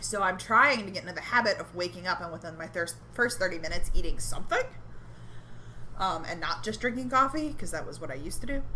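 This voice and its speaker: A woman's very fast speech with big swings in loudness, amid noticeable background noise and audible room echo. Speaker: podcast co-host. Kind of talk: casual chat. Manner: hesitant, many fillers.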